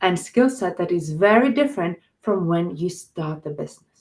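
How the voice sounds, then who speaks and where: A somewhat breathy woman speaks at a moderate pace with lively intonation. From Australia. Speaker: life coach and trainer. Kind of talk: webinar presentation. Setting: online webinar.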